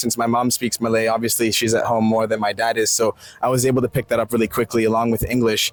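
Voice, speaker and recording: The speaker has an American accent and talks at a very fast pace. The sound is dry and close, with no echo. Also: man. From United States. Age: 20s. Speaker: interviewee. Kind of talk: casual interview.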